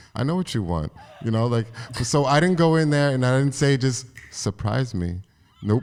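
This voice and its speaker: With lively intonation, a man at medium pitch talks at a fairly quick pace. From New Jersey, US. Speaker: podcast host. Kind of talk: casual chat.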